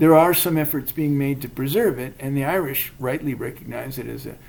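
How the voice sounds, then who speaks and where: At a moderate pace, someone talks with an American accent. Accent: academic-sounding American. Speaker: podcast co-host. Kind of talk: casual chat. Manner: hesitant, many fillers.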